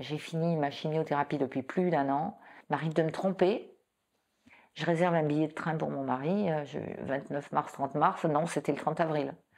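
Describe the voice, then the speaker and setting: A woman's very deep, low voice with ordinary pitch variation, a moderate pace and a quiet background. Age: 60s. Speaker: breast cancer patient. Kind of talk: testimony. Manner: halting, many repetitions.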